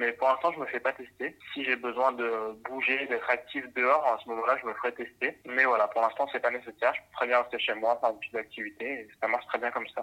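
A man talks at a fairly quick pace with hardly any pauses. His intonation is flat and monotone. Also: medium pitch for a man. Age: 20s. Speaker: camera assistant and photographer. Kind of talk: casual interview.

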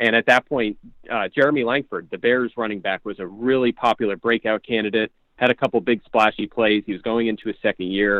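Man with an American accent, a normal speaking voice, medium pitch, fairly even intonation, fairly quick pace. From Pottsville, Pennsylvania. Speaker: fantasy football analyst. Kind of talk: casual interview.

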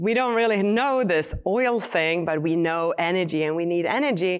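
A woman speaks with a Swedish accent and lively intonation at a moderate pace. The recording is very clean, with a silent background. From Sweden. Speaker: battery company founder and chemist. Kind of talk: live interview. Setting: stage with audience.

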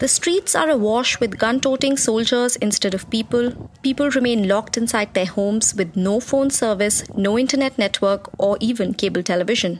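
A woman's voice with ordinary pitch variation, very even loudness, and hardly any pauses, over noticeable background noise. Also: moderate pace. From India. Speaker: foreign correspondent. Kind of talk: scripted narration.

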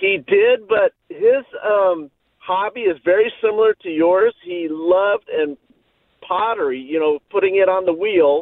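Delivery is fairly slow. An American accent colors the speech. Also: man, high pitch for a man, ordinary pitch variation. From US West Coast, Orange County. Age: 50s. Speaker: caller. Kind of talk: call-in conversation. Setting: phone call. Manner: halting.

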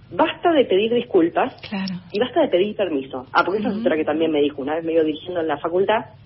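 A woman is speaking. Her pace is very fast. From Argentina, Tandil (Buenos Aires province). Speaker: orchestra conductor. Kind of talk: interview.

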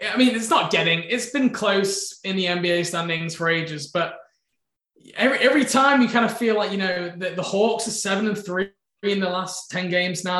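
A man in an English accent, high-pitched, fairly quick, with ordinary pitch variation. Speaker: podcast co-host. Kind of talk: casual chat and interview.

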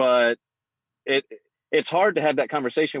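Recorded dry and close with no echo, a man speaks at a fairly quick pace. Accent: Southern US. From Atlanta, Georgia. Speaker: listener calling in, podcaster. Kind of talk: casual call-in conversation. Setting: call on phone, away from home. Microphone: phone.

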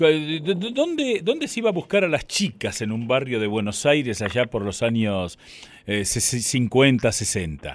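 In a Rioplatense accent, a man talks at a very slow pace at a medium pitch with very wide pitch swings, on a very clean recording with a silent background. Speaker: radio host. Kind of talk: radio interview.

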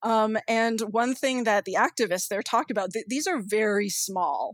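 A woman's fairly high voice on a very clean recording, with a silent background and a dry, close sound with no echo. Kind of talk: interview conversation. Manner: hesitant, with fillers.

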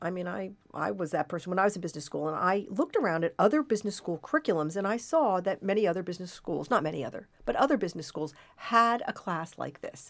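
Very fast and with hardly any pauses, a woman speaks at medium pitch with lively intonation on a very clean recording against a silent background. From US Pacific Northwest (Portland, Oregon). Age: 60s. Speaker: professor. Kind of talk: interview.

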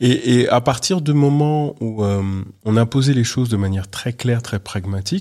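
In a very clean recording with a silent background, a man with a medium pitch and a dark, mellow tone talks with ordinary pitch variation. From France, Paris. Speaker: business founder and international speaker. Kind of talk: interview. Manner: animated.

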